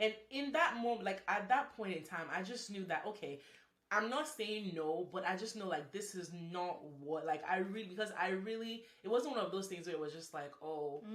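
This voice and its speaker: The speaker uses lively intonation at a moderate pace. Noticeable background noise and audible room echo are present. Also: woman, medium pitch for a woman. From Nigeria. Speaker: engineer, podcast guest. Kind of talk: casual chat. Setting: Instagram live.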